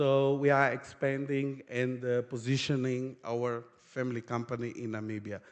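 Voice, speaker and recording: A man speaks at a fairly slow pace. He has a Portuguese accent. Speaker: company founder, panelist. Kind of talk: conference presentation.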